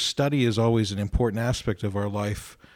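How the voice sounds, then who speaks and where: A man in an American accent with a normal speaking voice and medium pitch, at a moderate pace, on a very clean recording with a silent background. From Ohio, US. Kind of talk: radio discussion on faith topics. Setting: radio studio.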